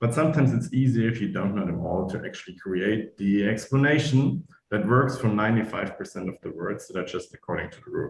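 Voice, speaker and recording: At a very fast pace with hardly any pauses, a man with a German accent talks at medium pitch in a somewhat breathy voice with lively intonation. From Eastern Germany. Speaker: German teacher. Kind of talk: online talk interview.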